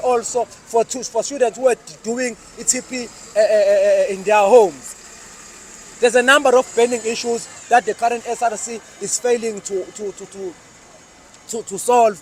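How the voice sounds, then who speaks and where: The sound is dry and close, with no echo, and noticeable background noise. Loudness swings widely while the intonation stays fairly even. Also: man. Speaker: student activist. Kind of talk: political speech to camera. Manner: fast; halting with many fillers.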